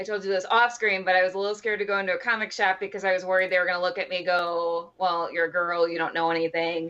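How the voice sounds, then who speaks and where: A woman with a Midwestern accent speaks at a very fast pace with hardly any pauses. Her tone is bright and sharp, and her intonation fairly even. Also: medium pitch for a woman. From US Midwest, Wisconsin. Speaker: cosplayer, comic fan. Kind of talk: casual chat.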